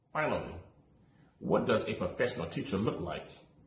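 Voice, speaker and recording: Audible echo fills the room. The voice belongs to a man. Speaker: student teacher. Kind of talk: class assignment presentation. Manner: sometimes rushed.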